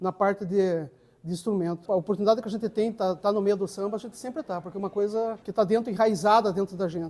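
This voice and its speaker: A man's high-pitched voice at a very fast pace, with fairly even intonation. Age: 60s. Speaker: samba percussionist. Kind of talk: interview testimony. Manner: halting, with repetitions.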